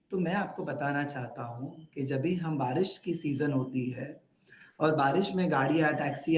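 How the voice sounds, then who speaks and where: A man speaks in a Gujarati accent. His pitch is fairly high. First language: Gujarati (speaking Hindi). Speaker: religious teacher trainer. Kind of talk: online training session. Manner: code-switching Hindi, English and Gujarati.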